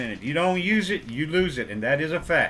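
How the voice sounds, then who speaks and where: Moderate tempo from a man with a fairly high voice and ordinary pitch variation. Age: 60s. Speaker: auto mechanic, YouTube creator. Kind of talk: casual talk to camera. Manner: halting, many fillers and repeats.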